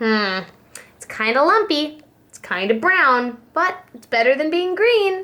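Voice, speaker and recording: In a put-on character voice, a woman speaks high and at a fairly slow pace. Her pitch swings very widely and her loudness rises and falls sharply. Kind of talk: bedtime story. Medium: read story.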